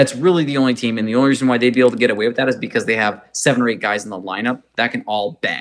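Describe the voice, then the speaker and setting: A man speaks in a plain, everyday voice, medium in pitch with ordinary pitch variation. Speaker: podcast host. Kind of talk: casual sports podcast discussion. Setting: remote recording, hosts in different cities.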